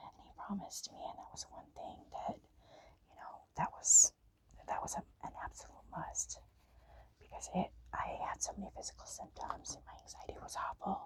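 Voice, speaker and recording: A whispering voice makes big swings in loudness. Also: woman, moderate pace. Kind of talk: ASMR storytime chitchat. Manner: soft-spoken.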